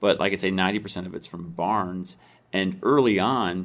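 An American accent from a man with a very deep, low pitch. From US Midwest, northern Iowa. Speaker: business owner, furniture maker. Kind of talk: radio interview.

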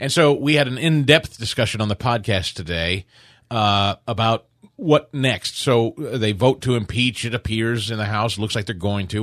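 An ordinary speaking voice: a man with an American accent, medium pitch and lively intonation, at a moderate pace. The sound is dry and close with no echo, over a quiet background. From US Midwest, Kansas City. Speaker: radio talk show host. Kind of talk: casual chat.

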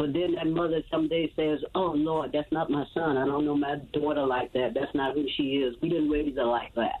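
A woman speaks with an American accent in a very deep, low voice, with very even loudness and fairly even intonation. She hardly pauses, and there is noticeable background noise. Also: moderate pace. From Chicago. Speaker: singer in a long-running rock band. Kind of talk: casual interview.

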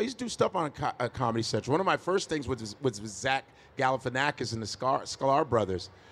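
With an American accent, a man talks at a fairly quick pace in an ordinary speaking voice, medium in pitch and lively in intonation. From Chicago, US. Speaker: stand-up comedian. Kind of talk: live podcast interview. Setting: stage with audience.

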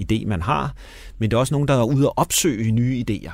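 On a very clean recording with a silent background, a man talks at a fairly quick pace. He has a plain, everyday voice, medium pitch and lively intonation. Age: 60s. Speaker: radio host and screenwriter. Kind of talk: casual chat. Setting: studio.

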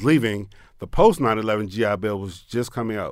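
A man with an American accent and an ordinary speaking voice talks at a fairly quick pace with ordinary pitch variation. The recording is very clean with a silent background. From Maryland, Pasadena. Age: 40s. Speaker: tequila entrepreneur and military veteran. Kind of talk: interview. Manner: casual.

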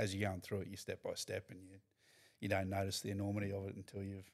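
With an Australian accent, a man with a fairly low voice races along at a very fast pace in a monotone, flat delivery with big swings in loudness. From North Queensland, Australia (Mackay). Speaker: professional rugby league player. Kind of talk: casual chat.

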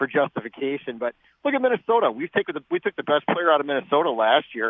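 With an American accent, a man speaks in a plain, everyday voice at a fairly quick pace, his pitch varying in an ordinary way. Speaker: caller. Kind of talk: call-in sports debate. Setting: phone call.

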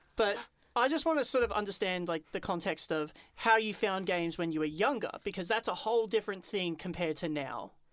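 Lively intonation marks a woman's ordinary speaking voice at medium pitch and a fairly quick pace. The recording is very clean, with a silent background. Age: 20s. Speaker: radio host. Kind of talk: casual chat. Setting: studio.

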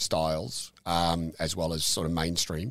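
A man with an Australian accent. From Melbourne area, Australia. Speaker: brewery owner. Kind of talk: casual interview. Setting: office at the brewery. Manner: halting, many fillers.

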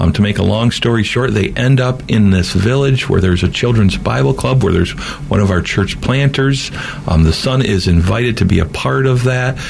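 A man's fairly low voice with lively intonation and very even loudness, plus audible room echo and noticeable background noise. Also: moderate pace. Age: 50s. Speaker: mission organization president and former pastor. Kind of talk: interview.

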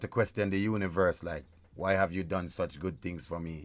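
In a very clean recording, silent background, a man with a Jamaican accent speaks at a moderate pace in a fairly low pitch. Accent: Jamaican, patois-inflected. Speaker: reggae artist. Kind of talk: radio interview. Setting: radio studio.

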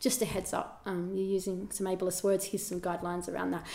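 With an Australian accent, a woman speaks at a medium pitch against noticeable background noise. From Australia, rural New South Wales (Albury). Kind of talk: casual chat.

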